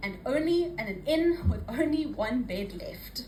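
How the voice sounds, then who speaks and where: A woman talks at a moderate pace in a high voice with very wide pitch swings, over noticeable background noise. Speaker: poet. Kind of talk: spoken word poetry performance. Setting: live open mic.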